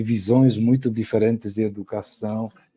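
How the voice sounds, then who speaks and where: The voice moves at a fairly slow pace with a dark, mellow tone. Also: man. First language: Spanish (speaking Portuguese). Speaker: professor. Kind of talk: lecture. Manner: halting, with repetitions and fillers.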